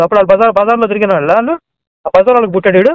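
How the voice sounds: A man with a high voice, clear and smooth in tone, recorded dry and close with no echo.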